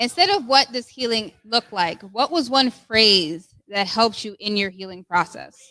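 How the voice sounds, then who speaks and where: With a bright, sharp tone and a fairly high pitch, a woman speaks at a moderate pace with hardly any pauses, lively intonation and big swings in loudness, in a dry, close sound with no echo. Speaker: discussion host. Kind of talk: group discussion. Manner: commanding military-style voice.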